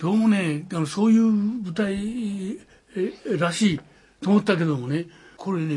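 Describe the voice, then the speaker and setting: With ordinary pitch variation, the speech unfolds at a fairly slow pace. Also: man. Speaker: war veteran. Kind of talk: testimony. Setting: at home. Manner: animated.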